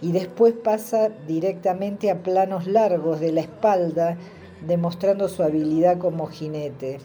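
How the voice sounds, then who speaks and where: A woman speaks at a fairly slow pace and a fairly low pitch. Noticeable background noise runs under her voice. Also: ordinary pitch variation. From southern Greater Buenos Aires, Argentina. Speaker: film viewer contributor. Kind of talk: recorded voice message review.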